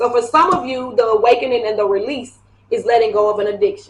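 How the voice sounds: The tone is fairly bright, and the pitch varies in an ordinary way. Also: woman.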